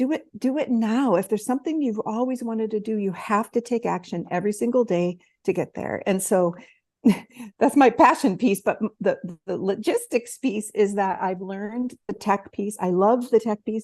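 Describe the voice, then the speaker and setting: This woman has a plain, everyday voice, fairly high in pitch, with ordinary pitch variation and a moderate pace. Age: 60s. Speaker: tech and marketing coach for coaches. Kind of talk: interview.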